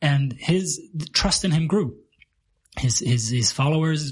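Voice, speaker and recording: Speaking at a fairly slow pace, this man sounds somewhat breathy. His pitch sits fairly high. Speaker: podcast host. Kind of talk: casual chat.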